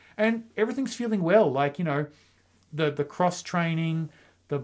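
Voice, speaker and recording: A man at a fairly quick pace with an Australian accent. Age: 40s. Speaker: running podcast co-host. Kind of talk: casual chat.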